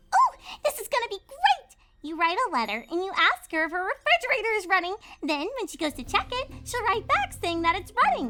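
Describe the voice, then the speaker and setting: An extremely high-pitched, put-on character voice bursts out in an excited, bubbly tone at a fairly quick pace over background music. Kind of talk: audiobook-style story reading with character voices. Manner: excited, bubbly, fast.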